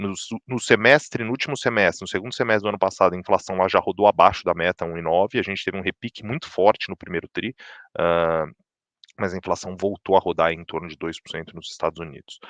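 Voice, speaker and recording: Very fast and very deep, a man speaks with big swings in loudness and ordinary pitch variation. The sound is dry and close with no echo against a quiet background. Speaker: chief economist. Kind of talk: market update presentation. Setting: livestream. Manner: many filler words and restarts.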